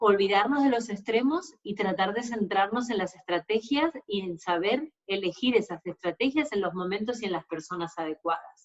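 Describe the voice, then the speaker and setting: Speaking at a moderate pace in an Argentine accent, a woman uses lively intonation at a medium pitch. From Argentina. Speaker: sports nutritionist. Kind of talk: webinar lecture. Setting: online webinar.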